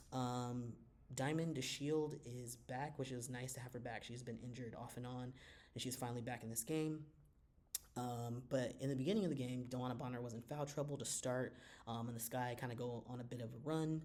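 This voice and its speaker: A man's medium-pitched voice, fairly quick, with fairly even intonation and audible room echo. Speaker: sports commentary youtuber. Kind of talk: casual commentary. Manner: fast; loud.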